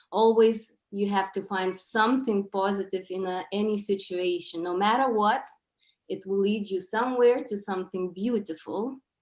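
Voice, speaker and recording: A woman speaks at a medium pitch in a Lithuanian accent. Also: fairly even intonation, moderate pace. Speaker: presenter at an event. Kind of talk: presentation. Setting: online video call.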